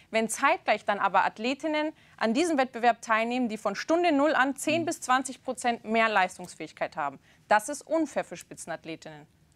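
Pitched fairly high, a woman speaks. Her pitch swings very widely. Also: moderate pace. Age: young. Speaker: talk show presenter. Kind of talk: TV debate. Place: studio.

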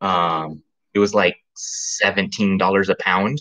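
The background stays quiet while a man is speaking. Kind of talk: casual livestream chat. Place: kitchen. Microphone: webcam.

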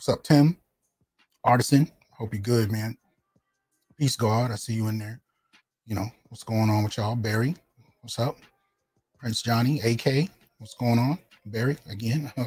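The speaker keeps a moderate pace with ordinary pitch variation, big swings in loudness and long, frequent pauses while faint music plays in the background. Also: man. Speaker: channel host. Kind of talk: livestream commentary. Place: home room. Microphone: studio mic.

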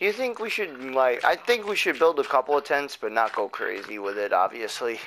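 A man's fairly high, bright, sharp voice with very wide pitch swings. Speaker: gaming YouTuber. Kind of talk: casual chat. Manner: unenthusiastic.

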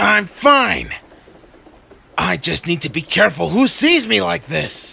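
Speaking at a fairly slow pace, a man uses a put-on character voice. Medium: dub.

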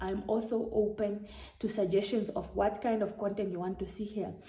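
A woman speaks in a dark, mellow tone that is somewhat breathy. Room echo can be heard. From Namibia. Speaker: YouTuber. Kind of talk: casual vlog monologue. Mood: warm, earnest. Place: home room. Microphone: phone near.

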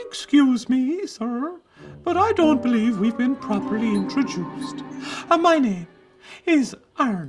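A put-on character voice, high-pitched and fairly slow, with faint music in the background. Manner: sweet, polite.

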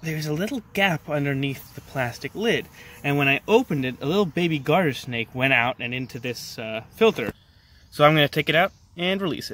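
In dry sound with no echo, a man speaks at a fairly quick pace. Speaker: nature video host. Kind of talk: casual nature commentary. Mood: calm, gentle. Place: garden. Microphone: phone near.

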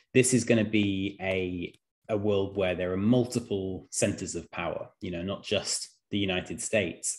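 A man talks at a moderate pace in an unremarkable speaking voice, fairly low in pitch with ordinary pitch variation. The background is quiet. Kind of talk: lecture. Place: home room.

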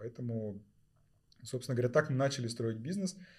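His tone is dark and mellow. The man's pitch variation is ordinary. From southern Kazakhstan. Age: 40s. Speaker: sportswear store co-founder. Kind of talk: casual chat. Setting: studio.

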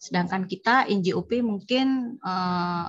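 Against a quiet background, the voice comes across somewhat breathy. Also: woman. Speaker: tax office employee. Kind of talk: training discussion. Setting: video call.

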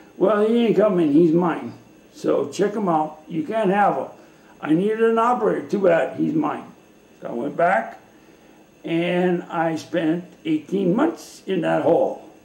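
Amid audible room echo, a man speaks fairly slowly at a high pitch, with ordinary pitch variation. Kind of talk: interview answer. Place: kitchen. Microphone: webcam.

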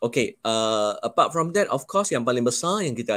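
The intonation is lively. Little can be heard in the quiet background. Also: man. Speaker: college head of department; panelist. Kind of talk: live-stream panel talk. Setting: video call from the college. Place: home room.

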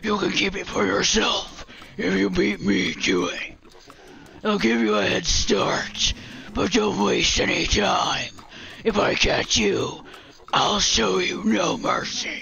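A man does a put-on character voice that sounds raspy, moving at a fairly slow pace with clear background noise behind him. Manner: menacing.

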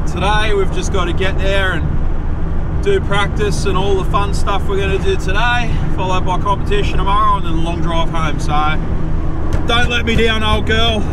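Over loud background noise, a man talks at a moderate pace with a dry sound and no echo. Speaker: amateur racer vlogger. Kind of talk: casual vlog chat. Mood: cheerful, joking. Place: car. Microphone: camera far.

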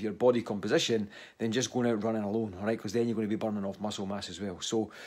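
Words pour out of a man at a very fast pace. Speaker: fitness coach. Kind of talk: casual vlog chat. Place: home room. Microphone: phone near.

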